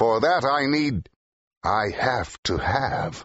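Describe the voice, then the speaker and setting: A man puts on a character voice. It comes out growling. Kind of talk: full-cast audio drama. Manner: impatient, forceful, growling.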